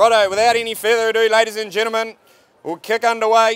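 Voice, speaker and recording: A high-pitched man with a New Zealand accent at a very fast pace, in monotone, flat intonation. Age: young. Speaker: livestock auctioneer. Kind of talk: auctioneer's opening address to crowd. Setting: outdoors. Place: open country.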